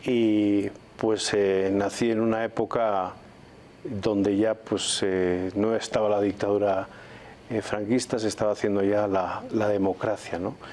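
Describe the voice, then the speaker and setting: A man with a Spanish accent, fairly low in pitch, monotone and flat in intonation, very even in loudness. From Spain, Valladolid. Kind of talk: TV interview. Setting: TV studio.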